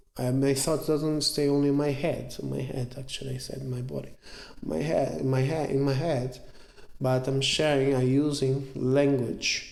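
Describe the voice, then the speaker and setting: Amid audible room echo and noticeable background noise, a man talks at a moderate pace and medium pitch in a monotone, flat intonation. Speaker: jiu-jitsu instructor. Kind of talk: lecture. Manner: halting.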